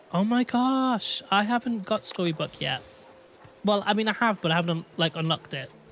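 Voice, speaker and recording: In a Manchester accent, a man with a high pitch talks at a moderate pace. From England, Manchester. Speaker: gaming streamer. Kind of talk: live stream chat. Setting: live stream. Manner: animated.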